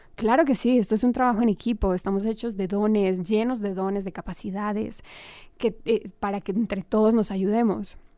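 A woman speaks in a dark, mellow tone with fairly even intonation. The recording is very clean, with a silent background. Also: medium pitch for a woman, moderate pace. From Colombia, Armenia. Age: 30s. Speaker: actress. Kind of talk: interview.

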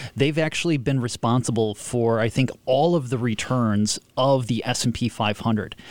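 Speaking at a moderate pace with hardly any pauses, a man has an unremarkable speaking voice with ordinary pitch variation and very even loudness. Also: medium pitch for a man. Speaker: economist. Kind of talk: radio discussion. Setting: studio.

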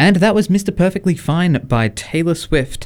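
A man talks with an Australian accent. His pitch swings very widely. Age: 20s. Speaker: radio host. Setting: radio studio. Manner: relaxed, jokey, conversational, with many fillers and laughs.

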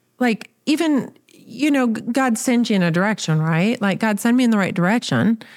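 A woman talks in a plain, everyday voice with an American accent. Her pitch is fairly high, her pace moderate and her intonation lively. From small-town US. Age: 50s. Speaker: podcast host. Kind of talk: casual chat.

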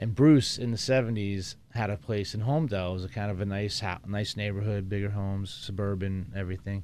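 A normal speaking voice from a man with an American accent, fairly low pitch, fairly even intonation, a fairly quick pace, and hardly any pauses. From New Jersey, Jersey Shore. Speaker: music podcast guest. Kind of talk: casual chat.

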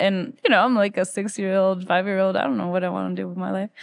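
Over a quiet background, a woman talks at a medium pitch with ordinary pitch variation. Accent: Spanish. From Ecuador, Quito. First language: Spanish. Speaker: musician. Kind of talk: interview.

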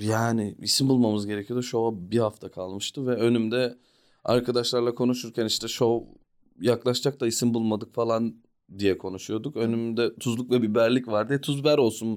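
Heard on a very clean recording with a silent background, a man talks at a moderate pace in a plain, everyday voice. His medium pitch stays fairly even. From Australia (Sydney, Melbourne), born in Ankara. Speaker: stand-up comedian. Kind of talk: casual chat. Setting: studio.

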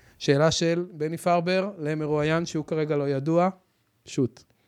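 This is a man speaking. His pace is moderate. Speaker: podcast host, financial advisor. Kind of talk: casual interview. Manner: animated.

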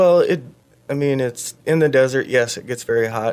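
In an ordinary speaking voice with an American accent, a man talks at a moderate pace and medium pitch with ordinary pitch variation. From Iowa, Fort Dodge. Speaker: army veteran. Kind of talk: radio interview, personal testimony.

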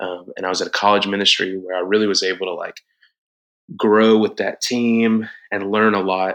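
In a Southern US accent, a man with a fairly low pitch speaks at a moderate pace in a monotone, flat intonation. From South Georgia, US. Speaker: worship leader and band musician. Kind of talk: casual interview chat.

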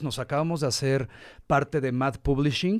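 Over a silent background in a very clean recording, a man speaks at a moderate pace. His fairly high-pitched delivery is a plain, everyday voice. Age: 40s. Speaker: marketer, businessman and motorcycle tourer. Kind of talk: casual interview. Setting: studio.

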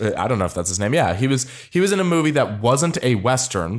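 A man with an unremarkable speaking voice, fairly quick pace and lively intonation, on a very clean recording with a silent background. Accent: General American. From US, Arizona (Tucson). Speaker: podcast host. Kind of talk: casual chat. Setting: studio.

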